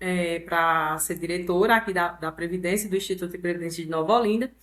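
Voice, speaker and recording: A woman with a Ceará accent. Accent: Northeastern Brazilian (Ceará). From Brazil, Ceará (Northeast). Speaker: pension fund director and digital influencer. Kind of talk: interview conversation.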